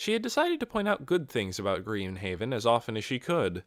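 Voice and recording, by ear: The text is being read aloud in a natural voice.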